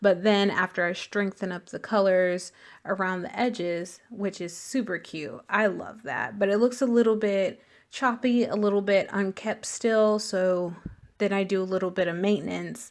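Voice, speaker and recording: An ordinary speaking voice from a woman at medium pitch, moderate pace and fairly even intonation, on a very clean recording with a silent background. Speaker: beauty vlogger. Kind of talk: makeup tutorial.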